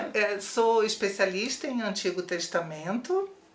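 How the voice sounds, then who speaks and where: A woman at medium pitch, fairly slow pace and ordinary pitch variation, with noticeable background noise. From Brazil, Rio de Janeiro. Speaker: theologian and author. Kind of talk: interview.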